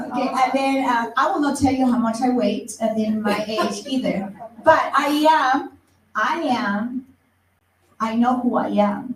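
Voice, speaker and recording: In a room with audible echo, a woman talks at a fairly slow pace in a high pitch with ordinary pitch variation. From Ecuador. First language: Spanish. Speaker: teacher and motivational speaker. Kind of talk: presentation to an audience.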